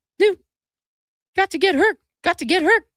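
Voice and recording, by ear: An extremely high, squeaky, put-on character voice is heard. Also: moderate pace.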